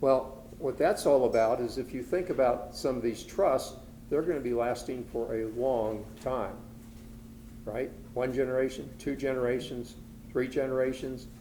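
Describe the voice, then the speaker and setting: A man speaks with vocal fry in a dark, mellow tone. His pitch varies an ordinary amount, and some room echo can be heard. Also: medium pitch for a man, moderate pace. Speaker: estate planning attorney presenter. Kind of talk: lecture. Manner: soft-spoken.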